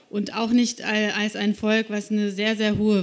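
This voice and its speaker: At a fairly slow pace, a woman talks in a fairly high pitch with an unremarkable speaking voice. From Slovakia. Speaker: journalist. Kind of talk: live talk on stage. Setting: stage with audience.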